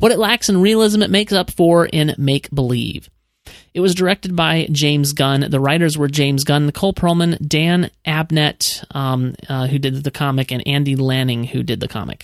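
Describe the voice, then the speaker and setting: Pitched fairly high, a man speaks at a moderate pace with an unremarkable speaking voice and ordinary pitch variation, the sound dry and close with no echo. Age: 30s. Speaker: podcast host. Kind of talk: casual chat.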